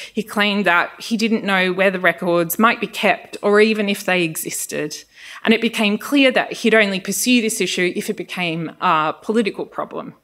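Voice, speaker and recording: A woman at a medium pitch, moderate pace and ordinary pitch variation. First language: Greek. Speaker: social science researcher. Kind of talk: lecture.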